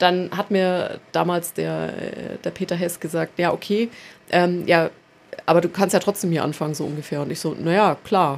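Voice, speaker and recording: A woman with a fairly low pitch and vocal fry speaks at a moderate pace. Her intonation is fairly even. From Nuremberg, Franconia, Germany. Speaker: cultural centre project coordinator. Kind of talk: casual chat.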